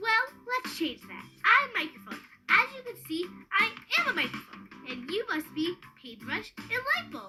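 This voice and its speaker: Faint music plays in the background as a female-sounding put-on character voice, bubbly in tone and extremely high in pitch, makes very wide pitch swings at a moderate pace with long, frequent pauses. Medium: game stream. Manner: bubbly, excitable.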